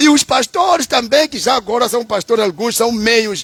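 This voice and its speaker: Over noticeable background noise, a man with a Mozambican accent speaks at an extremely high pitch with lively intonation, the sound dry and close with no echo. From Mozambique.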